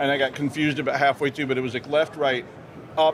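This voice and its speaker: Fairly high-pitched male speech with noticeable background noise behind it. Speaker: cybersecurity news show host. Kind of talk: casual comedic banter on live broadcast. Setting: live broadcast booth at a conference. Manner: animated.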